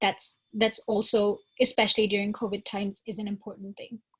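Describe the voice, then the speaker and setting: A woman's somewhat breathy, fairly high voice at a moderate pace. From northern India (Shimla). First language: not English (English is her third). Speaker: college student. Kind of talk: panel discussion.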